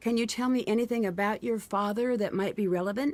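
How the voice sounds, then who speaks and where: This is a put-on character voice. It races at a very fast pace with fairly even intonation. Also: woman, fairly high pitch for a woman. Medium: video game. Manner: polite, inquisitive.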